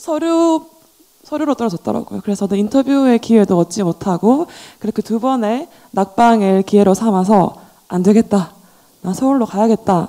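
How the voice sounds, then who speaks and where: Speaking with a Daegu accent, the voice has a dark, mellow tone, lively intonation and a moderate pace, with a dry, close sound and no echo. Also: woman, fairly high pitch for a woman. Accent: Gyeongsang (Daegu) dialect. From Daegu, South Korea. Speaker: gallerist and art dealer. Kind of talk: panel discussion.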